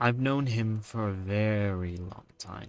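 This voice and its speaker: A man puts on a character voice, speaking at a fairly low pitch and a fairly slow pace. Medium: actual play. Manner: cold, cryptic.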